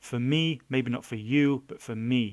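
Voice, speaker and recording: A man with a British accent in a very clean recording against a silent background. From Britain. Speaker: blogger. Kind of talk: casual monologue. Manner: fast; halting, many fillers and repeats. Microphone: mic too close, lip smacking.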